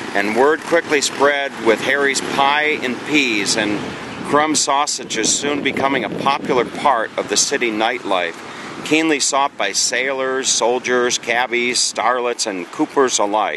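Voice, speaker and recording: Over noticeable background noise, a man talks at a fairly slow pace with ordinary pitch variation, the sound dry with no echo. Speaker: travel vlogger. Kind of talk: casual travel commentary. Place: street. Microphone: phone near.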